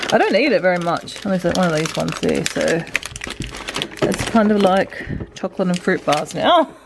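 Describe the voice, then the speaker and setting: A woman's medium-pitched voice at a moderate pace over noticeable background noise. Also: long, frequent pauses. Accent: Australian. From Australia. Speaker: stay-at-home mum, vlogger. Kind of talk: casual talk to camera.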